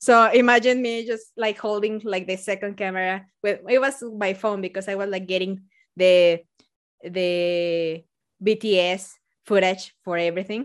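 Over a quiet background, a woman talks at a moderate pace with a medium pitch and fairly even intonation. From Mexico. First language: Spanish. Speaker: biologist and science communicator. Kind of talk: casual interview chat.

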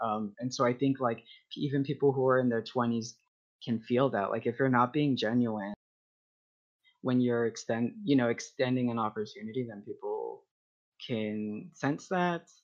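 A man with an American accent speaks at a moderate pace and medium pitch, with ordinary pitch variation and long, frequent pauses. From Texas. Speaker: community organizer. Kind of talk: casual interview.

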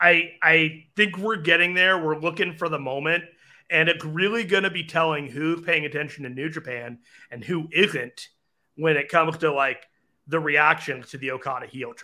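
A man speaks in a plain, everyday voice at a fairly high pitch. His pace is moderate, his pitch varies in an ordinary way, and his loudness swings widely. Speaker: wrestling podcast co-host. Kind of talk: casual chat, show discussion. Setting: at home, dogs in background.

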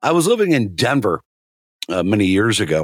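A man with an American accent uses an ordinary speaking voice at a medium pitch with lively intonation, on a very clean recording with a silent background. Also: dry, close sound with no echo. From rural Nebraska, US. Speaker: Marine veteran, fill-in co-host. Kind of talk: casual chat.

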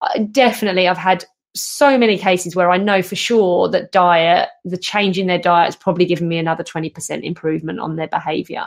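In a very clean recording with a silent background, a woman uses an ordinary speaking voice at a fairly quick pace, medium in pitch with ordinary pitch variation. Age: 40s. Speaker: podcast host and canine behaviour specialist. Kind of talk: casual chat.

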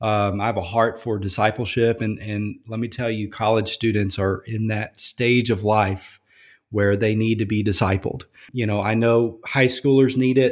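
The speaker has a Louisiana accent and a monotone, flat intonation at a moderate pace. The recording is very clean, with a silent background. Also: man, medium pitch for a man. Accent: Louisiana Southern US. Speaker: college campus minister. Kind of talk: casual interview.

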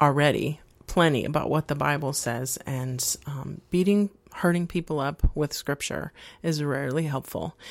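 Speaking at a fairly slow pace, a woman has a very deep, low pitch and ordinary pitch variation. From Mexico City. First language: bilingual Spanish. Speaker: psychologist. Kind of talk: interview.

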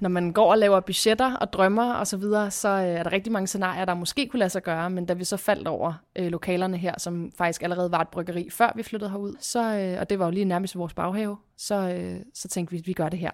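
On a very clean recording with a silent background, a woman speaks at a very fast pace and medium pitch, with fairly even intonation and hardly any pauses. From Copenhagen, Denmark (Christianshavn). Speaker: craft brewer. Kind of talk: casual interview.

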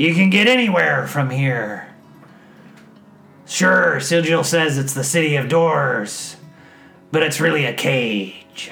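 Putting on a character voice, a man talks at a fairly high pitch with lively intonation, at a fairly slow pace with long, frequent pauses. Faint music plays in the background. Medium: actual play. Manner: folksy, rambling.

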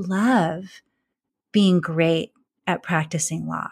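A woman speaks with an American accent in a somewhat breathy voice. The recording is very clean, with a silent background. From California. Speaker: former lawyer, mindfulness and leadership coach. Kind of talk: interview.

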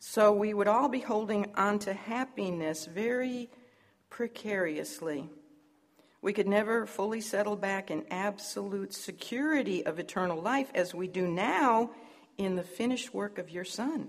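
Speaking in a normal speaking voice, a woman keeps to a medium pitch and ordinary pitch variation. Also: moderate pace. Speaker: Bible teacher. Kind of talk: Bible lesson.

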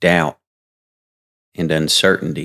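At a very slow pace, a man speaks with a dry, close sound and no echo. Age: 30s. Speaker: podcast host and preacher. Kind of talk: sermon.

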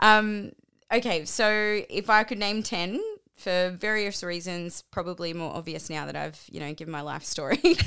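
A woman with an Australian accent, bright and sharp in tone, with ordinary pitch variation, in a very clean recording over a silent background. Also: medium pitch for a woman, moderate pace, big swings in loudness. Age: 30s. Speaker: metal band lead singer. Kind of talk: casual interview chat.

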